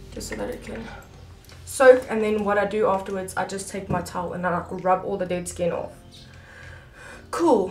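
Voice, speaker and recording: Over noticeable background noise and audible room echo, a woman with a medium pitch and ordinary pitch variation talks at a moderate pace, with long, frequent pauses and big swings in loudness. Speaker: makeup artist. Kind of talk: tutorial. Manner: casual.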